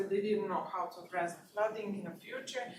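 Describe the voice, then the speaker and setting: Through noticeable background noise and audible room echo, a woman speaks at a medium pitch with fairly even intonation. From Bosnia and Serbia. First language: Bosnian/Serbian. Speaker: researcher. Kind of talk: lecture. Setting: university seminar. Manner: halting, many fillers.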